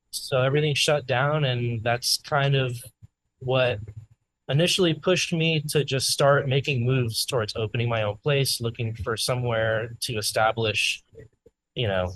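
A man with an American accent and an ordinary speaking voice talks at a medium pitch and a moderate pace. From South Florida. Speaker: bakery owner. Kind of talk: casual interview. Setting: in his bakery with customers.

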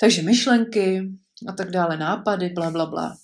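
Recorded very cleanly against a silent background, a woman speaks fairly slowly at medium pitch with ordinary pitch variation, in an unremarkable speaking voice. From Prague, Czechia. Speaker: podcaster, mother. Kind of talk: personal storytelling monologue.

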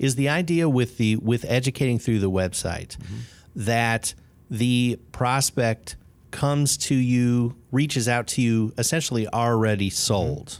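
On a very clean recording with a silent background, a man with an American accent speaks fairly slowly in a medium pitch, with ordinary pitch variation and very even loudness. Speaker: podcast host. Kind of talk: casual interview.

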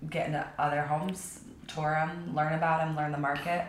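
An American accent with monotone, flat intonation, audible room echo and noticeable background noise. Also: woman. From Texas, outside Austin, then southern California from 12. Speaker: real estate agent. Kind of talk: casual interview.

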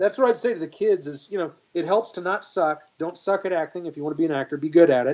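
A man with a Texan accent speaks very fast in a high pitch, with ordinary pitch variation and hardly any pauses. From Texas, Dallas. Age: 50s. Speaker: actor and guitarist. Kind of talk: interview conversation.

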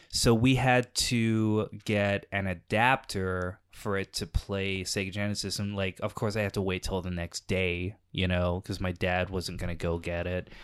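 In a plain, everyday voice, a man with an American accent speaks at a fairly slow pace with hardly any pauses, using a fairly low pitch and fairly even intonation. The recording is very clean, with a silent background. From England, then Texas. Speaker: comedian and improviser. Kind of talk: casual chat.

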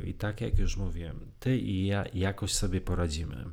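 A man's fairly low voice with vocal fry at a moderate pace. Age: 40s. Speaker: podcast co-host, fan site runner. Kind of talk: casual chat.

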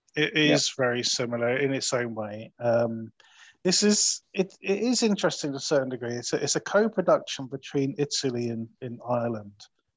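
Man with an English accent, medium pitch, fairly quick pace and lively intonation. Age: 40s. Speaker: podcast host, film reviewer. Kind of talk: casual chat.

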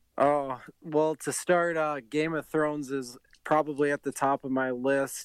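A man with an American accent speaks fairly slowly in a monotone, flat intonation, the sound dry and close with no echo. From Minnesota, Bloomington. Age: 20s. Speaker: video game streamer. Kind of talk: casual chat.

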